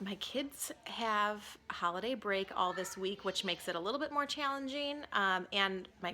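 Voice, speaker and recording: The woman's tone comes across bright and sharp. Her pitch is medium. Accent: Midwestern American. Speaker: lifestyle vlogger. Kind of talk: casual vlog talk. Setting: home, in front of a window. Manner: animated.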